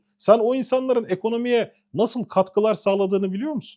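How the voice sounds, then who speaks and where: A man speaks with a high pitch and a dark, mellow tone. The sound is dry and close, with no echo. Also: quiet background. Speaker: political commentator. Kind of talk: heated political rant. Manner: indignant, emphatic.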